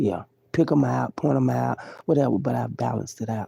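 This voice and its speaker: A woman speaks in a dark, mellow tone with vocal fry. The sound is dry and close, with no echo. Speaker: live streamer. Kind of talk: casual livestream monologue. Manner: loud at times; animated.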